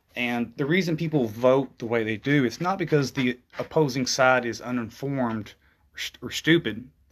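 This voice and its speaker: Speaking at a moderate pace, a man uses an ordinary speaking voice at a medium pitch with ordinary pitch variation. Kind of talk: casual interview conversation.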